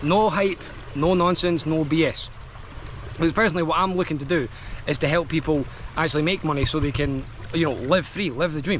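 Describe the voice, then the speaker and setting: Amid noticeable background noise, a man with a Scottish accent talks at a fairly quick pace with long, frequent pauses and ordinary pitch variation. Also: fairly high pitch for a man. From Scotland. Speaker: affiliate marketer, online business vlogger. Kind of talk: product review vlog. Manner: casual, filler-heavy.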